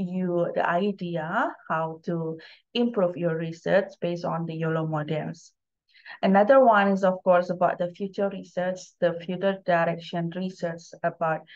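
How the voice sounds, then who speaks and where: A woman speaks in an unremarkable speaking voice, fairly low in pitch, with fairly even intonation at a fairly slow pace. The background is quiet. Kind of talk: lecture. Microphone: webcam.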